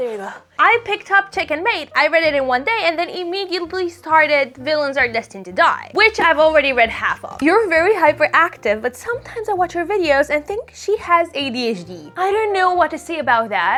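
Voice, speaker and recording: Raised and projected, a woman's extremely high-pitched voice in a Romanian accent races at a fairly quick pace with hardly any pauses, very wide pitch swings and an animated tone, over noticeable background noise. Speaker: book content creator. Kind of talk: casual chat.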